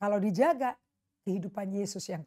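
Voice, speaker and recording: Talking at a fairly quick pace, a woman sounds animated. The background is quiet. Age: 60s. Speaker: pastor. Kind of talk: sermon. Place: home room. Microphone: lapel.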